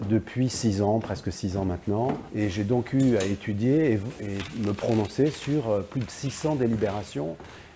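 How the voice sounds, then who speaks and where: Fairly low-pitched male voice with ordinary pitch variation over noticeable background noise. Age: 60s. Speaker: local politician. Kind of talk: political address to camera. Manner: hesitant, many filler sounds.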